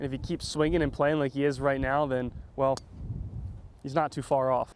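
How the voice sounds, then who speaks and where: There is noticeable background noise as a man talks in an American accent. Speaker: local TV sports anchor and reporter.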